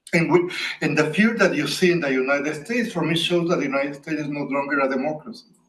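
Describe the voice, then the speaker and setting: A man speaks at a very fast pace and a fairly high pitch, with ordinary pitch variation. Audible room echo surrounds his voice. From Latin America. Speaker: professor. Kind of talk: academic Q&A answer.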